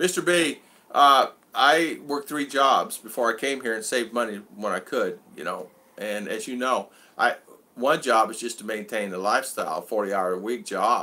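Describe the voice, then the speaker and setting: A man talks with an American accent at medium pitch. His tone is bright and sharp, and his intonation is lively. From US Southwest, Arizona. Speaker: vlogger. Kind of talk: live stream chat. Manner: fast.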